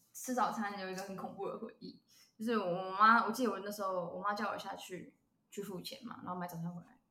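A woman talks at a very fast pace and medium pitch, her intonation fairly even while her loudness swings widely. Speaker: podcast co-host. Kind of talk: casual chat.

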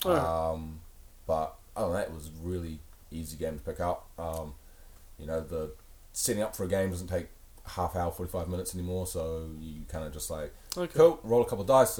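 A man with a New Zealand accent talks at a fairly quick pace in a very deep, low, somewhat breathy voice with ordinary pitch variation, big swings in loudness and long, frequent pauses. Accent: Kiwi. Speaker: podcast co-host. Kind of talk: casual chat. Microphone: came through quieter than co-host.

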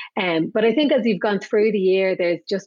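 A woman with an Irish accent speaks with fairly even intonation. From Ireland. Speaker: business executive. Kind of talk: casual interview.

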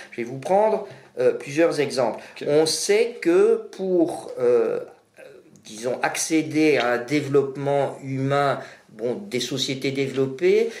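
Over noticeable background noise and audible room echo, a man talks very slowly in a fairly high pitch with ordinary pitch variation. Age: 60s. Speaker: energy expert. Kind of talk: expert interview.

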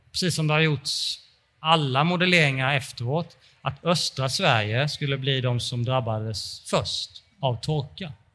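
Fairly high-pitched and bright and sharp in tone, a man speaks at a fairly slow pace in a very clean recording with a silent background. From Småland, Sweden. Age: 40s. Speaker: climate researcher and author. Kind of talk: interview before live audience. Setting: stage with audience in a hot exhibition hall. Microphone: poor sound conditions.

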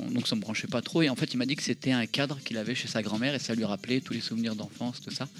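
Noticeable background noise behind a man talking at a very fast pace. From France, Seine-et-Marne. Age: 40s. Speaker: arcade association founder. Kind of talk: casual chat.

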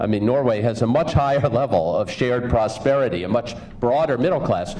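Lively intonation marks this man's speech. Audible room echo and noticeable background noise come through as well. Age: 50s. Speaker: union leader and advocate. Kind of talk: conference speech.

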